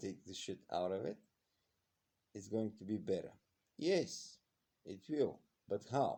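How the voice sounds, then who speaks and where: A man speaks in a fairly low pitch with a dark, mellow tone. He leaves long, frequent pauses. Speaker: health video vlogger. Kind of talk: casual monologue. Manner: slow; halting.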